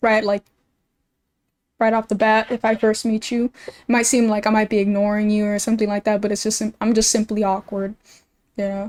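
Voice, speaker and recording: A woman with a fairly high pitch talks at a fairly quick pace in monotone, flat intonation. Long, frequent pauses break up her speech, and the sound is dry and close with no echo. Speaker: streamer. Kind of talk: casual chat. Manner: calm.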